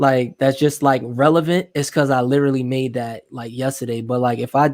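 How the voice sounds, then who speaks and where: A man talks at a moderate pace with monotone, flat intonation. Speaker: dating coach. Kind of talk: casual chat.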